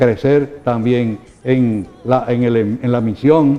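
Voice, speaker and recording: A man speaks over noticeable background noise. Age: 80s+. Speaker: bishop. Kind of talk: interview answers. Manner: halting.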